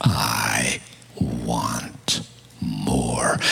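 A man whispers with an American accent. Noticeable background noise runs behind him. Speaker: preacher. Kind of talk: sermon. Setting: church with live audience, microphone. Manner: animated, humorous.

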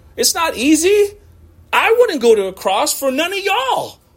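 A man at a moderate pace with very wide pitch swings, over noticeable background noise. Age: 40s. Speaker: pastor. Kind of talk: sermon. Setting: church. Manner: animated.

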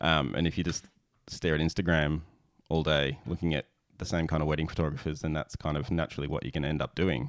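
Speaking very fast with an Australian accent, a man uses a very deep, low pitch with vocal fry and fairly even intonation. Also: dry, close sound with no echo. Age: 30s. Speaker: podcast host and wedding photographer. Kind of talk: casual interview chat. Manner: halting.

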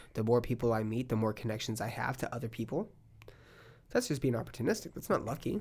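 With an American accent, a man talks at a very fast pace in a medium-pitched, somewhat breathy voice with ordinary pitch variation. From California, Palm Springs. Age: 30s. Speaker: podcast host and stand-up comedian. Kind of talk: casual chat. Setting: studio.

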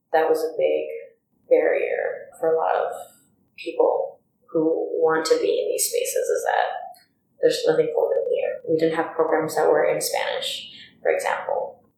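Audible room echo surrounds a woman's voice. She moves at a moderate pace, with long, frequent pauses. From Hollywood, California. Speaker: library assistant and commission member. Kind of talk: interview.

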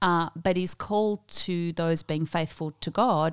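A woman with an Australian accent speaks in a fairly low voice with fairly even intonation. The recording is very clean, with a silent background and a dry, close sound with no echo. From Australia, earlier South Africa. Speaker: New Testament lecturer. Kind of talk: interview.

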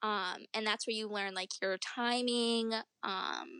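Over a quiet background, a woman with an American accent speaks in a bright, sharp tone with vocal fry, in a dry, close sound with no echo. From upstate New York. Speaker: professional cheerleader. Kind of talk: interview.

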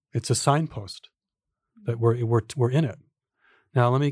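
A man with an American accent and a somewhat breathy, medium-pitched voice speaks at a moderate pace in a dry, close sound with no echo, on a very clean recording with a silent background. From US. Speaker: authentic relating teacher and author. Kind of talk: casual chat.

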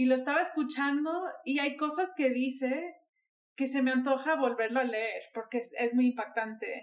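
A woman speaks at a high pitch and a moderate pace. Her pitch variation is ordinary. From Miami, US. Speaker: photographer. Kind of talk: casual chat. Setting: recording from home.

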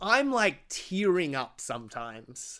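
On a very clean recording with a silent background, a man speaks very slowly in a bright, sharp tone. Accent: Australian. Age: 30s. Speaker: podcast host. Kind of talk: casual chat.

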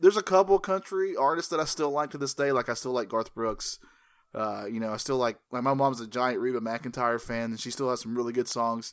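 In a plain, everyday voice with an American accent, a man of medium pitch speaks at a fairly quick pace with lively intonation on a very clean recording with a silent background. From US South, North Carolina. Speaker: podcaster and artist. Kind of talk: casual chat.

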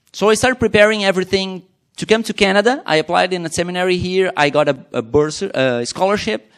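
In a Portuguese accent, a man with a high pitch rattles along at a very fast pace with lively intonation. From Brazil. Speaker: missionary pastor. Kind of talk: testimony. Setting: church.

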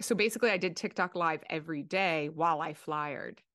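A woman talks at a moderate pace with an American accent and lively intonation. The background is quiet. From South Jersey, Philadelphia area. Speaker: actor and writer. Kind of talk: casual interview chat.

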